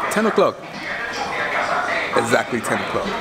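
Loud background noise runs under the recording. A man speaks at a moderate pace. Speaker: travel vlogger. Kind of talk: casual vlog chat. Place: cafe. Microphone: phone near.

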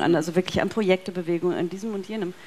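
The speaker is a woman. Her voice is pitched at a medium level. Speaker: philosophy professor. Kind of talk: panel discussion. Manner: halting, many fillers. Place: hall. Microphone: headset.

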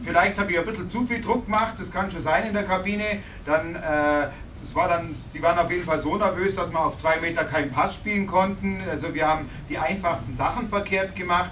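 A man talks at a fairly quick pace in a high pitch with ordinary pitch variation. Light background noise is present. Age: 50s. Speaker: visiting ice hockey coach. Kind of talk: post-game press conference. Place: meeting room. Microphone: camera far.

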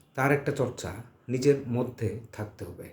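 Audible room echo surrounds a man's medium-pitched voice. He sounds somewhat breathy. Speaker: journalism professor. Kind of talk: lecture. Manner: halting.

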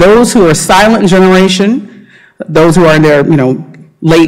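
A woman speaks with an American accent. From US South (Savannah, Georgia); Georgia. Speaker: marine scientist; speaker. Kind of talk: lecture. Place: hall.

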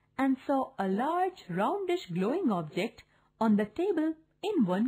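The text is being read aloud in a natural voice.

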